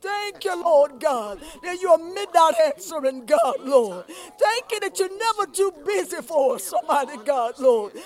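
Over noticeable background noise, a man with an extremely high pitch and very wide pitch swings speaks at a fairly slow pace with hardly any pauses. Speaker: congregant leading prayer. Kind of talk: prayer. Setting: church.

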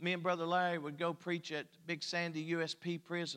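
This man has a high-pitched voice with a bright, sharp tone. He speaks with an Appalachian accent. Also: very clean recording, silent background. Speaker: pastor. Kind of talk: sermon. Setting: church.

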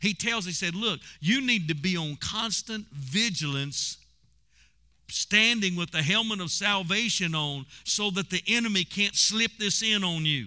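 A man with a high pitch and a bright, sharp tone uses a raised, projected voice, sounding animated at a fairly slow pace. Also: ordinary pitch variation. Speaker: pastor. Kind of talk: sermon; prayer. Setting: church; broadcast to radio/online audience. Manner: animated, exhorting, call-and-response; laughing, conversational preaching.

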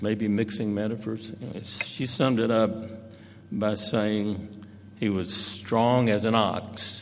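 The delivery is an unforced reading voice.

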